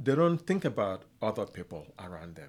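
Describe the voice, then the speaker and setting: A man with a southeastern Nigerian accent speaks at a moderate pace in a very clean recording with a silent background. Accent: Nigerian (Igbo-area) English. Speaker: chiropractor and author on kindness. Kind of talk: interview. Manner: halting, with frequent fillers.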